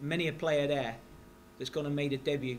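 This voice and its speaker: In a room with audible echo, a man speaks at a fairly high pitch with fairly even intonation. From West Country, England. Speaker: football manager. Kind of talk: press conference. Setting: press conference at stadium.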